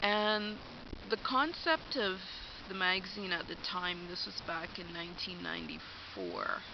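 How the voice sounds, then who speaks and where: A woman with a Canadian accent at a fairly slow pace, with audible room echo. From Alberta, Canada. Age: 40s. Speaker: vlogger. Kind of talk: personal vlog monologue. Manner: hesitant, many fillers.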